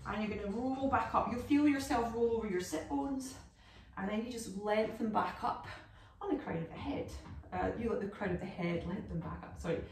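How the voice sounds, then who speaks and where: Speaking at a fairly quick pace, a woman is heard with audible room echo. Light background noise is present. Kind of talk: exercise class instruction. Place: home room. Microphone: camera far.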